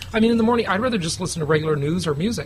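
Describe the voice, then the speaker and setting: Talking at a very fast pace with lively intonation, the speaker is heard over noticeable background noise. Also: man. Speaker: real estate investment show host. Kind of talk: casual chat. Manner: casual.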